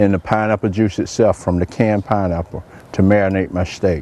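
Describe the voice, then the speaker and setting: A man speaks at a fairly low pitch with fairly even intonation. Noticeable background noise is present. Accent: American. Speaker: chef. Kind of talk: cooking show presentation. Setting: outdoors. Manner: soft-spoken.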